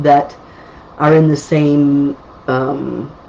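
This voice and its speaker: There is noticeable background noise on this clip. Through it, a woman talks. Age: 60s. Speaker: psychic medium. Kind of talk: live psychic readings answering viewer comments. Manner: casual, conversational with fillers.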